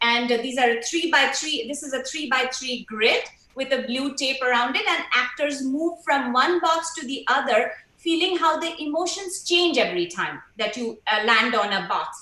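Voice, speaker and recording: A woman projects her high voice with lively intonation at a moderate pace. Noticeable background noise and audible room echo surround her raised voice. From India, Kolkata. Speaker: stage actor. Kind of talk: panel talk. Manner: hesitant, many fillers.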